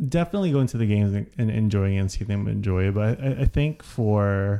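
A man speaks with an American accent at a fairly quick pace. His voice is fairly low in pitch, dark and mellow, with lively intonation. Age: 30s. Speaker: podcast co-host, nonprofit worker. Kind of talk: casual chat.

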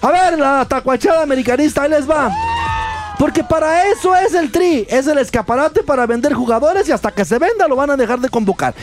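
Over music in the background, a man with a Mexican accent talks at a fairly quick pace and an extremely high pitch, his tone animated and his intonation lively. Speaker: sports radio host. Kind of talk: sports talk radio.

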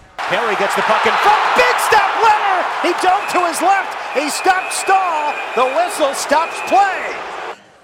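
A man speaks at an extremely high pitch and a fairly slow pace. His pitch variation is ordinary, and background noise is noticeable. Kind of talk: live play-by-play commentary call of a hockey goal.

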